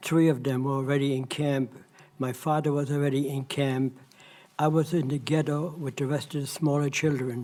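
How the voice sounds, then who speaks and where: In a dark, mellow tone, a man with a fairly high voice talks at a moderate pace with monotone, flat intonation. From Poland, near Krakow. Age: 90s. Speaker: Holocaust survivor. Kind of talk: testimony.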